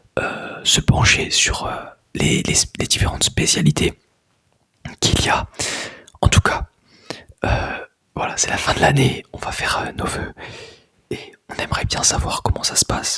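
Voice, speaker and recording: A man whispers at a fairly slow pace. He leaves long, frequent pauses. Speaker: ASMR creator, student. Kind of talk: ASMR whispered talk to camera. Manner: whispered, soft-spoken.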